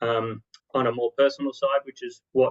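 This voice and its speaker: Monotone and flat, a man speaks with an Australian accent. His pitch is medium. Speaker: marketing consultant. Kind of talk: interview. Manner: fast.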